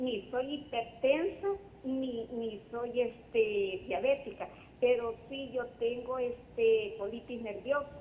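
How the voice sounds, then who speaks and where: Over noticeable background noise, a woman speaks at a very slow pace in a high voice with ordinary pitch variation. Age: 60s. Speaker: caller with health question. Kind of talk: phone-in question. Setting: phone call.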